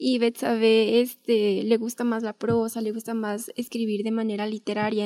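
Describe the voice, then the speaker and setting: At a fairly slow pace, a woman with a fairly high pitch and a dark, mellow tone speaks in monotone, flat intonation. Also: dry, close sound with no echo. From Mexico, Guadalupe, Zacatecas. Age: 20s. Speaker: economics student, essay prize winner. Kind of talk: interview.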